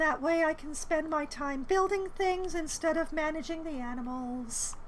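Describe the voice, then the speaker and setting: This woman's pitch is extremely high. Audible room echo can be heard around her. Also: ordinary pitch variation, moderate pace. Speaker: video game streamer. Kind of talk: live stream gameplay commentary. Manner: casual, self-talking with hesitations.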